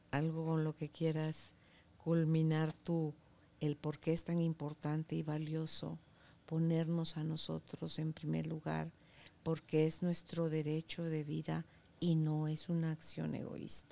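Very slowly, a woman speaks in a very deep, low voice with a dark, mellow tone and monotone, flat intonation. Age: 60s. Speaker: podcast host. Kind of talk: interview. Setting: studio. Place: studio.

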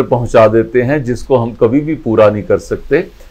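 Faint music can be heard behind the speech. The speaker is a man. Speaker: storyteller. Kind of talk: moral story narration. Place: home room. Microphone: lapel.

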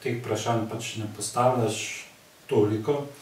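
Audible room echo and noticeable background noise surround a man speaking at medium pitch with ordinary pitch variation. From Slovenia, Zreče area. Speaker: cultural society member. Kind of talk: casual chat.

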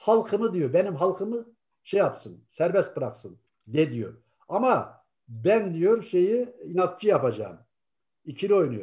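A man's high-pitched, dark and mellow voice, fairly slow, with very wide pitch swings against a quiet background. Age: 60s. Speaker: atheist YouTuber. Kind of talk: casual discussion. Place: home room. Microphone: video call.

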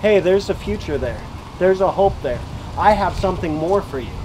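This man has a high-pitched voice with ordinary pitch variation. Background noise is noticeable. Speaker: street preacher. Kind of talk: sermon. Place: open country. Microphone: camera far.

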